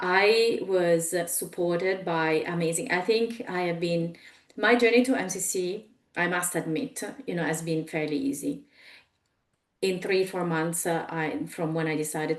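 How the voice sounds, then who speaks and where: A woman with an Italian accent speaks at a moderate pace. Her fairly low voice shows ordinary pitch variation. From Italy. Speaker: executive coach. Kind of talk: webinar presentation. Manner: halting, many fillers.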